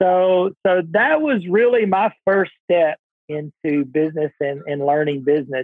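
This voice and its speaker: A man talks at a fairly slow pace with ordinary pitch variation in a plain, everyday voice. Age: 50s. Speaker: business coach and entrepreneur. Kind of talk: interview.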